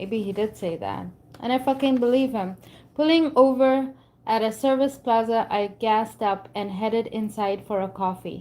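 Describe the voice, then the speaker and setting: Delivered at a moderate pace with a strong Indian accent, the voice has a dark, mellow tone and ordinary pitch variation on a very clean recording with a silent background. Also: woman, fairly high pitch for a woman. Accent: thick Indian. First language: not English. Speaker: book reader and commentator. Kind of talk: reading aloud with commentary.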